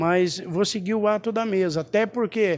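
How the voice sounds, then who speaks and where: A man speaks with ordinary pitch variation. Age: 50s. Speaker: city councillor. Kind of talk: press statement.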